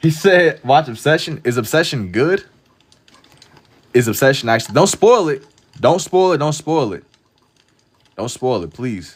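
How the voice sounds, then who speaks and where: At a moderate pace in an American accent, the speaker uses very wide pitch swings, big swings in loudness and long, frequent pauses. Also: man. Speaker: live-streaming artist. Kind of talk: casual livestream chat while drawing. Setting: TikTok live stream.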